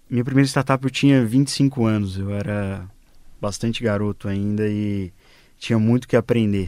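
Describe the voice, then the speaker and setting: The recording is very clean with a silent background. A man speaks at a moderate pace with fairly even intonation and a dark, mellow tone. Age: 20s. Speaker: fintech CEO. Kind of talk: radio panel interview.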